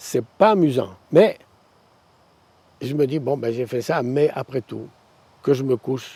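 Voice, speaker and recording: Speaking at a fairly slow pace, a man has a dark, mellow tone at a medium pitch with ordinary pitch variation. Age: 80s+. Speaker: retired pastor. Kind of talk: interview testimony. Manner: halting.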